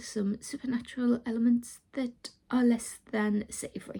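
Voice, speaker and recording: With a British accent, a woman speaks at a fairly high pitch in a dark, mellow tone with fairly even intonation. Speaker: vlogger and self-published author. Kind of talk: casual vlog chat.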